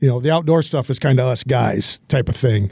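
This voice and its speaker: Recorded with a dry, close sound and no echo, a man speaks at medium pitch with an American accent. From Michigan, Hillsdale. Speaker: business owner and sponsor. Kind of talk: casual interview. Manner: halting, repeats words.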